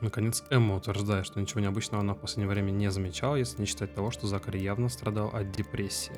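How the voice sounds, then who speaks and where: A man talks at a very fast pace in a fairly low pitch. His pitch varies in an ordinary way, with music in the background. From Russia, Tver. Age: 20s. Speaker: gamer, IT worker. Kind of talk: let's play commentary. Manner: casual.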